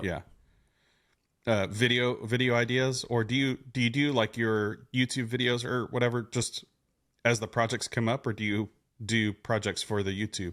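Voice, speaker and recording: An ordinary speaking voice moves at a moderate pace with fairly even intonation over a very clean recording with a silent background. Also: man, medium pitch for a man. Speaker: podcast host, woodworker. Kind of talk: casual podcast conversation.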